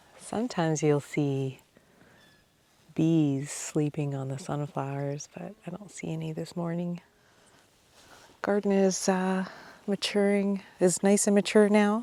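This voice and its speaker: Speaking at a fairly slow pace with long, frequent pauses, a woman has a dark, mellow tone and a fairly low pitch. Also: ordinary pitch variation. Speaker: farmer vlogger. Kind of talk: casual walking vlog narration. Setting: outdoors on a farm.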